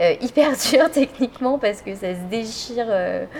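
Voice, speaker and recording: At a fairly slow pace, a woman speaks with ordinary pitch variation amid noticeable background noise. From France, village south of Orléans. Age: 30s. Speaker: photographer and artist. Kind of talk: interview. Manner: casual, hesitant with frequent fillers.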